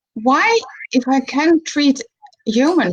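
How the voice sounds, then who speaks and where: This woman speaks with a Dutch accent. Her high-pitched voice has lively intonation. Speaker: animal physiotherapist. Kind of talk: live video chat interview. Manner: halting.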